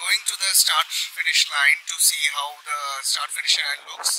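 There is light background noise as a man talks at a fairly slow pace in a dry recording with no echo. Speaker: travel blogger. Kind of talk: casual vlog chat. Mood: excited, awed. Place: boat. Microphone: phone near.

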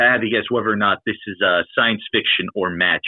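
The speaker is a man with a plain, everyday voice. His pitch varies in an ordinary way. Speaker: novelist and role-player. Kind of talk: casual interview chat. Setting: online voice call.

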